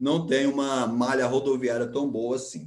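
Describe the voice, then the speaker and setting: Audible room echo surrounds the voice of a man. He speaks at a fairly slow pace. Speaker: geography teacher. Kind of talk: online class lecture.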